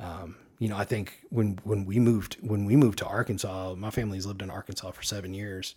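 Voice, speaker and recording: A man's fairly low, dark, mellow voice, somewhat breathy, at a very fast pace with hardly any pauses, fairly even intonation, big swings in loudness and a very clean recording with a silent background. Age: 40s. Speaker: podcast guest. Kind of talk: casual chat.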